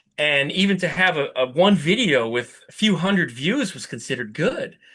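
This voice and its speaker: In an American accent, a man talks loudly at a moderate pace, his high, bright and sharp voice animated with very wide pitch swings. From New Jersey. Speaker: VW YouTuber and fabricator. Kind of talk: podcast interview.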